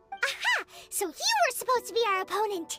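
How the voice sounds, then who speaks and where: In a put-on character voice, squeaky and extremely high, someone talks at a fairly quick pace while faint music plays in the background. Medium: machinima. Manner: bright, excitable.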